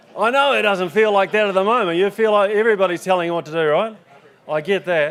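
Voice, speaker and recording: A man with a New Zealand accent, high-pitched, fairly quick, with ordinary pitch variation. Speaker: farming safety organisation manager. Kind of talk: conference talk. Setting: stage with audience. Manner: fast; casual, joking.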